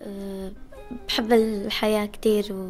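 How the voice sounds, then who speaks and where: A woman's fairly high voice in a Damascus accent, at a very slow pace with fairly even intonation, and music in the background. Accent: Levantine Arabic (Damascus). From Syria (Damascus). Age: young. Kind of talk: interview answer.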